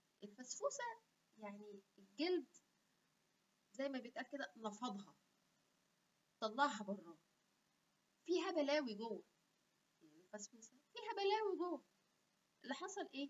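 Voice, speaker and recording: Speaking with an Egyptian accent, a woman uses an animated tone and high pitch with very wide pitch swings, going at a fairly slow pace with long, frequent pauses. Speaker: health YouTuber; educational video host. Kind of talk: casual live Q&A chat. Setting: livestream. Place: home room. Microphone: webcam.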